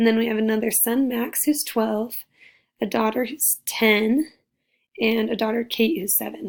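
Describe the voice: A woman's fairly high, raspy voice with vocal fry, fairly even intonation and a fairly slow pace.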